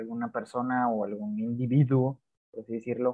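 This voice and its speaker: A man's medium-pitched voice at a moderate pace. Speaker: podcast co-host. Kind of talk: casual chat.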